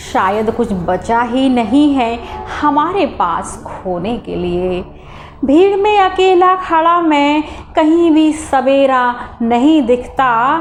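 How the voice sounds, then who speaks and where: Music plays in the background. A woman's high voice swings very widely in pitch. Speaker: poetry reciter. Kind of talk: poetry reading. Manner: emotional, sorrowful.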